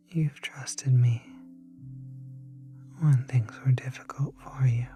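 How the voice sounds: Over faint music in the background, a woman puts on a character voice at an extremely low pitch, slow and fairly even in intonation, her dark, mellow tone carrying a husky, rough edge.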